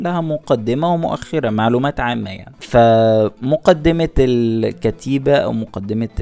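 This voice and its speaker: Noticeable background noise behind a man at a medium pitch, fairly slow yet with hardly any pauses, ordinary pitch variation, and big swings in loudness. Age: young. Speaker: podcast host. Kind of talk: solo podcast monologue.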